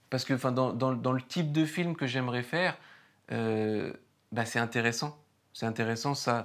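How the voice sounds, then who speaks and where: Against a quiet background, a man keeps a moderate pace and ordinary pitch variation. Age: 30s. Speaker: painter and first-time documentary filmmaker. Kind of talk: interview. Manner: hesitant, many fillers and repetitions. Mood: reflective, thoughtful. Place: garden. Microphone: lapel.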